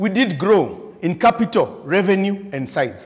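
The background stays quiet while a man talks. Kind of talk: prepared contest speech. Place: meeting room.

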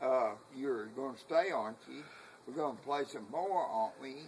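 Over light background noise, a man talks at a moderate pace with ordinary pitch variation. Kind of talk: casual conversation, boasting. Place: home room. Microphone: camera far.

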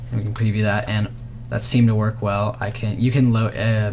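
Audible room echo carries a man's fairly low-pitched, monotone, flat voice at a fairly quick pace. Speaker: vfx tutorial youtuber. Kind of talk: tutorial.

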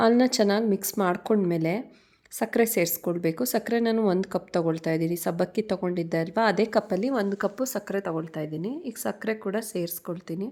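Her tone dark and mellow, a woman speaks at a medium pitch with ordinary pitch variation. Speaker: vlogger. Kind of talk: vlog narration.

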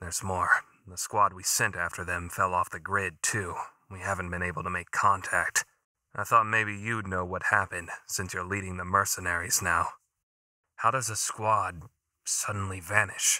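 In a put-on character voice, a man speaks very deep and low, raspy and monotone with flat intonation, at a moderate pace on a very clean recording with a silent background. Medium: fan dub. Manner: urgent, worried.

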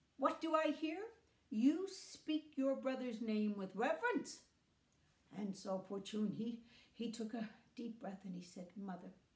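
A woman talks at a fairly slow pace with long, frequent pauses and big swings in loudness, her voice carrying audible room echo. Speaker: storyteller. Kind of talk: storytelling with character voices. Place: home room. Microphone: phone near.

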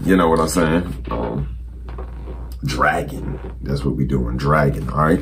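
Light background noise can be heard while a man is talking. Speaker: youtuber. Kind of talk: casual vlog chat, reaction commentary. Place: home room. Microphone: phone near.

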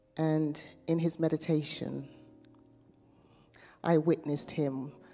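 A woman's very deep, low voice, monotone and flat in intonation, at a fairly slow pace, with faint music in the background. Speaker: meditation guide; minister. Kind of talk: guided meditation. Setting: chapel. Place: church. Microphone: handheld.

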